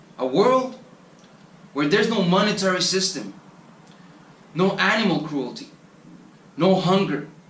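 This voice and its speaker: In a Spanish accent, a man with a high pitch and lively intonation speaks at a moderate pace with long, frequent pauses, over noticeable background noise and audible room echo. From Colombia. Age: 20s. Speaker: travel vlogger. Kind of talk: motivational monologue.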